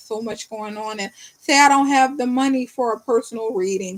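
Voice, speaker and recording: Speaking fairly quickly in a New Orleans accent, a woman keeps her fairly high voice in fairly even intonation. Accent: New Orleans Southern US. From New Orleans, US. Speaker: tarot reader. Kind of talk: live-stream tarot reading and chat with viewers. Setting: live stream from bed. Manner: fast when reading.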